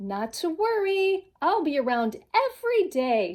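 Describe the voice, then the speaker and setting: A woman puts on a character voice with extremely high pitch. She talks at a fairly slow pace, and her pitch swings very wide. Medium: read story. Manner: chirpy, enthusiastic.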